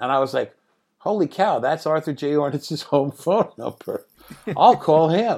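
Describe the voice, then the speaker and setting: Speaking at a fairly slow pace, a man has a normal speaking voice with fairly high pitch. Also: ordinary pitch variation. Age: 60s. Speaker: film writer, director and painter. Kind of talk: casual interview chat. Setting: video call.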